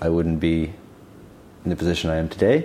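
Noticeable background noise surrounds this recording. A man speaks at a fairly quick pace with a very deep, low pitch. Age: 20s. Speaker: investment fund founder. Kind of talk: casual chat. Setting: studio.

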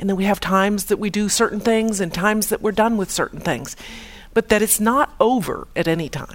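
An ordinary speaking voice, a woman with an American accent talks at medium pitch and a fairly quick pace with ordinary pitch variation. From US Midwest, Chicago. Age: 50s. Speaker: radiologist giving a faith talk. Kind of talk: testimony talk.

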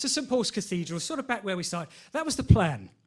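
A man talks with a London accent. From London, Enfield. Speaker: lay preacher. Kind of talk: sermon. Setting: church. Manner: halting, many fillers.

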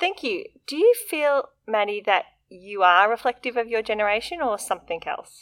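A woman with an Australian accent, very wide pitch swings and a moderate pace, on a very clean recording with a silent background. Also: fairly high pitch for a woman. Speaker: podcast host. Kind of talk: interview.

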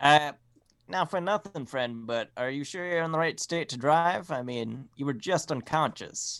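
A plain, everyday voice from a man, fairly high in pitch with ordinary pitch variation at a moderate pace, in a very clean recording with a silent background. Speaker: tabletop RPG player. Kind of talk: tabletop RPG session, casual banter.

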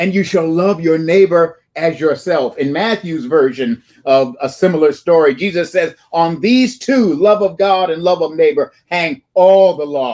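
Slowing to a fairly slow pace, a man speaks with a high pitch and ordinary pitch variation. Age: 60s. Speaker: preacher. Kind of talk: sermon. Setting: church.

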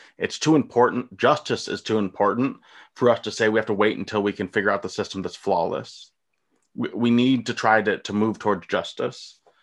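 A man with an American accent speaks at a fairly quick pace, the background quiet around him. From US, rural. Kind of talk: casual chat.

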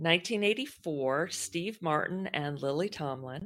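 A woman with a Texan accent, very deep, low pitch and lively intonation. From Texas. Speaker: podcast co-host. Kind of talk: casual chat.

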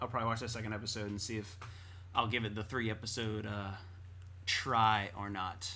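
In a room with audible echo, a man with a fairly low pitch and bright, sharp tone talks at a fairly quick pace in a monotone, flat way, leaving long, frequent pauses. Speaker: podcast co-host. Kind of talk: casual chat.

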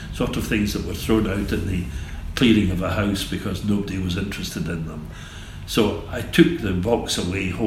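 A man with a Scottish accent, fairly low pitch, ordinary pitch variation and moderate pace, amid audible room echo and noticeable background noise. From Scotland, Glasgow area. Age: 70s. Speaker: gallery owner. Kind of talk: interview. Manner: halting.

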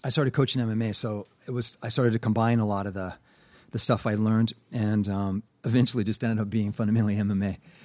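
Over a silent background in a very clean recording, a man with an ordinary speaking voice talks fairly quickly, his fairly low pitch held in a fairly even intonation. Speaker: martial arts instructor. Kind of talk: casual interview chat.

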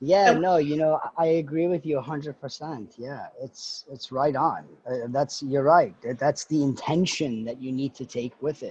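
A man with a fairly high pitch talks at a fairly slow pace, somewhat breathy. His loudness swings widely while his pitch variation stays ordinary. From Iran. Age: 40s. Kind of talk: casual interview chat.

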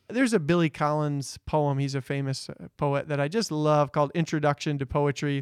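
Speaking in an ordinary speaking voice, a man with a fairly high pitch keeps a fairly quick pace with hardly any pauses and ordinary pitch variation, the sound dry and close with no echo. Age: 30s. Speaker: Bible teacher. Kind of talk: casual chat.

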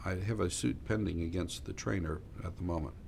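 In audible room echo, a man with a very deep, low pitch and vocal fry speaks at a moderate pace with ordinary pitch variation. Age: 60s. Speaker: trial lawyer. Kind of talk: interview.

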